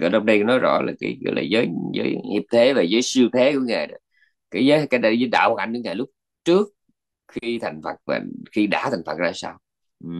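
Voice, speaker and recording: Over a quiet background, a man talks at a very fast pace yet with long, frequent pauses. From Vietnam. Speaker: Buddhist monk teacher. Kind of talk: dharma talk lecture. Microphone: video call.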